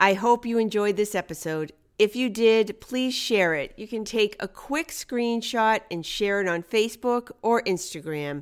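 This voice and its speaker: A woman with a normal speaking voice talks at a fairly slow pace with hardly any pauses, her pitch fairly high. Her intonation is lively, and the recording is very clean with a silent background. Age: 50s. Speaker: podcast host and life coach. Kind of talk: motivational monologue.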